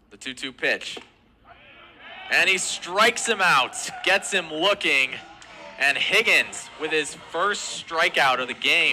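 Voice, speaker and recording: A high-pitched male voice at a very slow pace, with lively intonation, big swings in loudness, long, frequent pauses and noticeable background noise. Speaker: play-by-play broadcaster. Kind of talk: live baseball play-by-play call.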